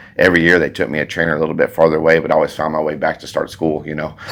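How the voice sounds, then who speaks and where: A man's very deep, low voice in a Texan accent, monotone and flat in intonation. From Texas, Alvin near Houston. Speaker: farrier and shoeing school instructor. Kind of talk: casual interview. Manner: fast.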